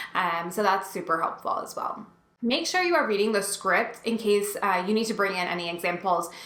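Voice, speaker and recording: With noticeable background noise and audible room echo, a woman at a medium pitch talks at a fairly quick pace with ordinary pitch variation. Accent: American. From New Jersey. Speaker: instructional design coach. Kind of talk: tutorial. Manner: fast; sometimes mumbles.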